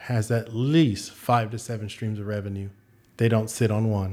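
Here is an ordinary speaking voice from a man with an American accent. He keeps a moderate pace and a medium pitch. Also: very clean recording, silent background. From San Antonio, Texas. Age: 40s. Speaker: gym owner and fitness and finance coach. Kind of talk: casual interview chat.

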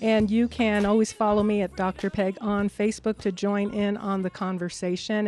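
Here is a plain, everyday voice moving at a fairly quick pace. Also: woman. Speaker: radio host. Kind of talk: radio interview.

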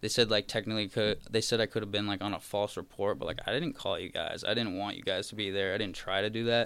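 Talking at a very fast pace with hardly any pauses, a man with an American accent keeps a fairly low pitch and fairly even intonation. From Massachusetts, South Shore (Marshfield/Plymouth). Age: 20s. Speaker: meme creator. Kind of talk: casual chat.

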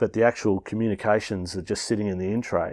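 A man speaks with an Australian accent. The recording is very clean, and the background is silent. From Melbourne, Australia. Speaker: founder of a school family program. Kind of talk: interview.

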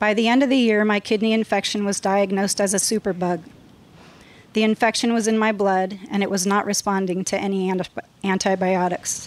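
An American accent at a fairly quick pace, monotone and flat, with very even loudness. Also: woman, medium pitch for a woman. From US West Coast, Los Angeles San Fernando Valley. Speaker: church member sharing testimony. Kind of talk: testimony.

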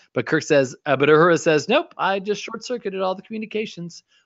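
A man with vocal fry at a very fast pace. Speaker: podcast host. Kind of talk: casual chat. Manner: animated.

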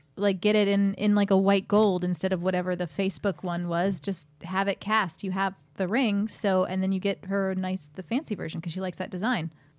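At a fairly quick pace with hardly any pauses, a woman talks in a normal speaking voice of medium pitch and fairly even intonation. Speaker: podcast host. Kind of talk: casual banter, comedy advice show. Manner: bantering, joking.

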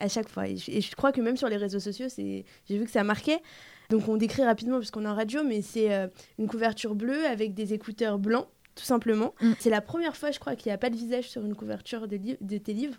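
Very fast talking shows ordinary pitch variation. A silent background leaves the recording very clean. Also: woman, fairly high pitch for a woman. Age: 20s. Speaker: interviewer. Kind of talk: interview.

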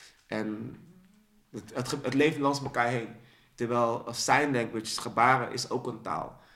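A man with a medium pitch and a bright, sharp tone speaks at a very slow pace with fairly even intonation. Room echo is audible. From Netherlands, raised in Dordrecht, born in Suriname. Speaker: spoken word poet. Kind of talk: casual interview. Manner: halting, repeats words.

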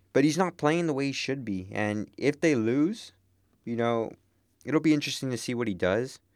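A man with an American accent and a medium pitch has an ordinary speaking voice and lively intonation. He speaks at a moderate pace on a very clean recording with a silent background. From Texas border town. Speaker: sports podcast co-host. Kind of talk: casual chat.

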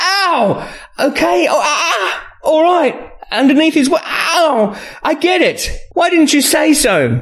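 This put-on character voice has a fairly bright tone and big pitch swings. The pace is slow. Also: man, extremely high pitch for a man.

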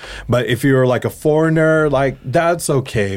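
A man with a Californian accent talks at a moderate pace. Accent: Californian American English. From San Francisco Bay Area. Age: 40s. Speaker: graphic artist. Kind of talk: casual chat.

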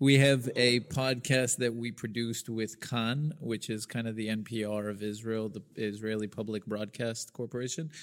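A man with an American accent speaks in a plain, everyday voice at a medium pitch, with fairly even intonation. His pace is moderate with hardly any pauses, on a very clean recording with a silent background. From US South, Birmingham, Alabama. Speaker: podcast host. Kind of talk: casual chat.

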